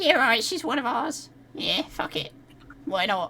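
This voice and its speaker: A put-on character voice sounds female and high-pitched. It moves at a moderate pace. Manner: gruff, dismissive.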